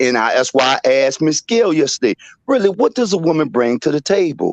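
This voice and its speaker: Here is a man with an ordinary speaking voice, fairly high in pitch, with lively intonation at a fairly quick pace. The sound is dry and close, with no echo. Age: 60s. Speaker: caller. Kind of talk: heated debate.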